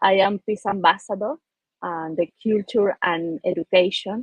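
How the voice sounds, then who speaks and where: Speaking in an Argentine accent, a woman has a medium pitch and ordinary pitch variation. Her pace is fairly slow. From Argentina. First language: Spanish. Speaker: peace ambassador, businesswoman. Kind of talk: panel discussion. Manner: halting, repetitive.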